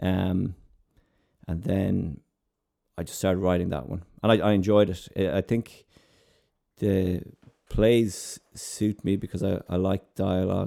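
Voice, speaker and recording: A man with a western Irish accent, very deep and low in pitch, dark and mellow in tone, fairly even in intonation, at a fairly slow pace with long, frequent pauses. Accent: Irish (west of Ireland). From Ireland, East Galway. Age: 30s. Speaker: playwright. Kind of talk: interview. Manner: halting, many repetitions.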